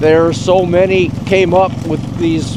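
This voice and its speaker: A man speaks at a very slow pace with a high pitch. Background noise is noticeable. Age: 80s+. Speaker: off-grid gold miner. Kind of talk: interview answer. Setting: outdoors.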